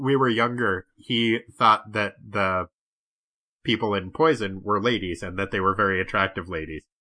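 A man's bright, sharp tone with a New England accent. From New Hampshire. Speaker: podcaster guest. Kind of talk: casual chat.

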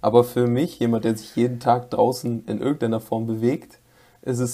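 At a moderate pace, a man with a dark, mellow tone speaks at a medium pitch with fairly even intonation. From North Rhine-Westphalia, Germany. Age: 20s. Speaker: podcast co-host, student. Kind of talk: casual chat.

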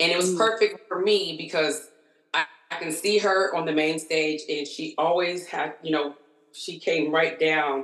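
Amid noticeable background noise, a woman with a fairly low pitch speaks at a moderate pace with fairly even intonation. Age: 30s. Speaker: concert-goer. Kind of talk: casual chat.

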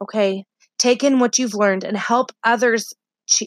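With a normal speaking voice, a woman speaks in a fairly high pitch with fairly even intonation, the sound dry and close with no echo. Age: 20s. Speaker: podcast host, stay-at-home mom and wellness business owner. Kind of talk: motivational solo podcast talk. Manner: frequent filler words (uh, um).

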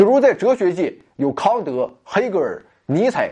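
A man's high-pitched voice with a dark, mellow tone and very wide pitch swings, against a quiet background. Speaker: science podcast host. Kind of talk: scripted narration.

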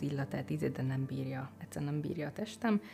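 Woman with lively intonation, noticeable background noise around her. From southern Hungary, village near the Mecsek hills. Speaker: life coach. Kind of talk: podcast interview.

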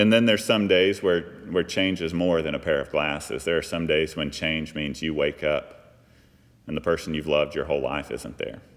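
This man has a very deep, low voice and an American accent. He talks at a moderate pace. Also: ordinary pitch variation. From US South, Texas (Fort Worth area). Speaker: pastor. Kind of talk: sermon. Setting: church.

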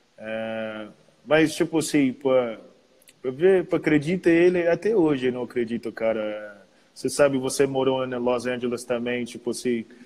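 A man's voice sits at a medium pitch, moving along at a moderate pace with ordinary pitch variation. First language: English (speaking Portuguese). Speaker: professional basketball player. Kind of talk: casual chat.

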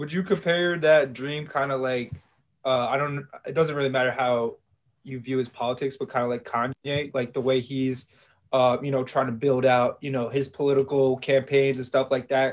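A man with an American accent uses a normal speaking voice at a medium pitch, with fairly even intonation and a moderate pace. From New York / New Jersey. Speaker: podcast host and beat producer. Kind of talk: casual interview.

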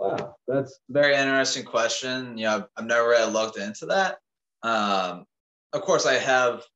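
The man has an American accent and a bright, sharp tone. He speaks at a moderate pace and a medium pitch with ordinary pitch variation. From Maryland, US. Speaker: raw-meat eater and farm hand. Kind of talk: casual chat.

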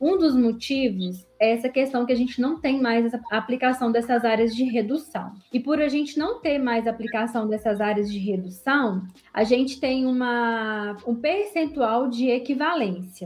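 In a strong Minas Gerais accent, a woman speaks at a moderate pace with hardly any pauses, her high pitch varying in an ordinary way. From Minas Gerais, Brazil. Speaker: accountant. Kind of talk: podcast interview, explaining technical topic.

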